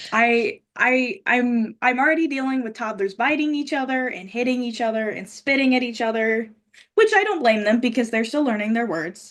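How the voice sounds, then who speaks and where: A loud, high-pitched woman at a moderate pace, with ordinary pitch variation. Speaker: pageant titleholder and daycare teacher. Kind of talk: casual chat. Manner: halting in conversation.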